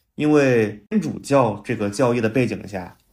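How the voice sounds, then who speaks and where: The speaker is a man with a medium pitch. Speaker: drone industry professional. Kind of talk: casual conversation.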